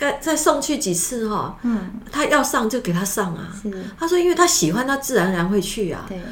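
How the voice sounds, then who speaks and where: Over noticeable background noise, a woman talks at a fairly quick pace. Her high pitch swings very widely. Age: 70s. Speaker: podcast guest, drum student. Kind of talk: casual chat.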